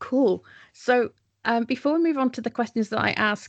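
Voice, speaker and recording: A woman's normal speaking voice, with ordinary pitch variation and a fairly quick pace. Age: 40s. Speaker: podcast host. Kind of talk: interview.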